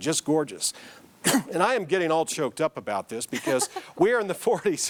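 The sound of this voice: A man does a put-on character voice that is hoarse and high-pitched. He talks at a fairly quick pace, his pitch swinging very widely.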